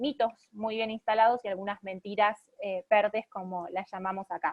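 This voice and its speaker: This woman has a fairly high voice. Her intonation stays fairly even. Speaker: lawyer and pro-life activist. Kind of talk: online talk. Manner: fast.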